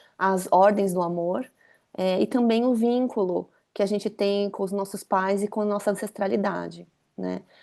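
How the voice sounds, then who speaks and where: Fairly even intonation shapes the dark, mellow tone of a woman's voice. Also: medium pitch for a woman, moderate pace, quiet background. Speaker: systemic constellation facilitator. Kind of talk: casual talk / presentation. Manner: halting, many fillers.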